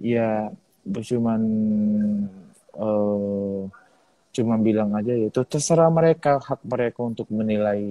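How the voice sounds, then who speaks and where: This man has an ordinary speaking voice at a medium pitch. He speaks at a fairly slow pace. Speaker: singing competition finalist. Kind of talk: interview. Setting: live video stream.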